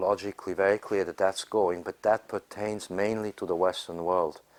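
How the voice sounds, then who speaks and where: A plain, everyday voice from a man, fairly low in pitch, at a moderate pace with fairly even intonation, with a dry, close sound with no echo on a very clean recording with a silent background. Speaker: astrologer and conference speaker. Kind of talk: informal panel discussion.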